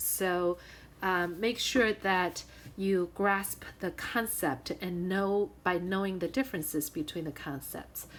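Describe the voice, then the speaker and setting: In an ordinary speaking voice, a woman at medium pitch talks at a fairly slow pace with ordinary pitch variation. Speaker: high school math teacher. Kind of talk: recorded video lesson. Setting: screen-recorded whiteboard lesson.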